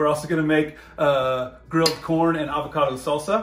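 Clear music plays behind a man whose voice carries audible room echo. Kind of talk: casual cooking tutorial. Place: kitchen. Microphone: phone near.

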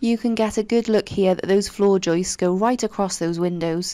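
A woman speaks in a dark, mellow tone. Her intonation is fairly even and her pace fairly slow. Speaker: renovation vlogger. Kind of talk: casual vlog chat. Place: home room. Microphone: phone near.

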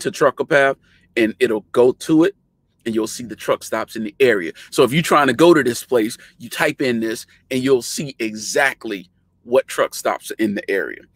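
A man speaks at a moderate pace with ordinary pitch variation and big swings in loudness. The sound is dry with no echo, over a quiet background. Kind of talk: casual tutorial chat. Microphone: webcam.

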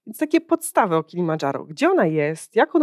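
At a fairly quick pace, a woman talks with very wide pitch swings against a quiet background, in a dry sound with no echo. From Poland. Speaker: podcast host and company founder. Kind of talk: interview, podcast host. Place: hall. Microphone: handheld.

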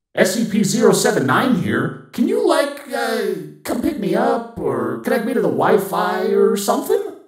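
A cartoonish character voice with a fairly high pitch moves at a fairly slow pace. There is slight echo. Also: hardly any pauses. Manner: cheeky, playful, mocking.

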